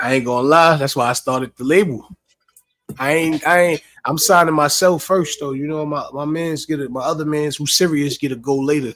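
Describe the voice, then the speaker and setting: This man speaks with an American accent at a fairly quick pace. His voice is fairly high, and his intonation stays fairly even. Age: 30s. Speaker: rapper and show co-host. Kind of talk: casual chat.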